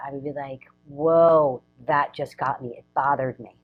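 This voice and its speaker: Music plays in the background as a woman talks at a moderate pace. Her pitch is very deep and low, with ordinary pitch variation. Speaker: relationship coach. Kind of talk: casual chat. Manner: loud.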